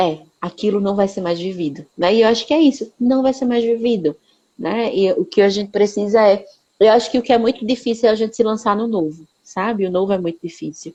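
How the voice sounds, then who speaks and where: Her voice sits fairly high, with a dark, mellow tone. The woman moves at a fairly quick pace with ordinary pitch variation. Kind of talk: live stream conversation. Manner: fast.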